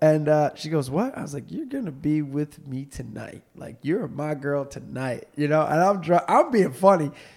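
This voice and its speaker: In an ordinary speaking voice, a man talks at a moderate pace and fairly high pitch with ordinary pitch variation, big swings in loudness and hardly any pauses. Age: 30s. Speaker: podcast host. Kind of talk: casual chat. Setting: studio.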